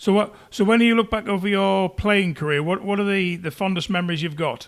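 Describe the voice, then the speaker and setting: A man with a Teesside accent talks at a fairly quick pace in a high voice. His intonation stays fairly even. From northern England, Teesside. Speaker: podcast host. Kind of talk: interview.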